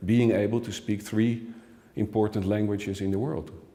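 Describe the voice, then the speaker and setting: A man speaks with a Dutch accent and fairly even intonation. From Netherlands. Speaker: expert commentator. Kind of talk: interview. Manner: halting.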